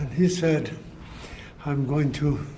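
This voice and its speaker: Amid noticeable background noise and audible room echo, a man speaks very slowly at a fairly high pitch with fairly even intonation. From Ireland. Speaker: writer. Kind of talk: casual chat. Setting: outdoors.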